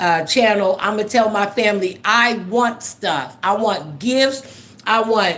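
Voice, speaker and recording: With audible room echo, the speaker delivers an animated tone at a fairly slow pace, with hardly any pauses and ordinary pitch variation. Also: woman, fairly high pitch for a woman. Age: 60s. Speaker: livestream host. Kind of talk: casual chat.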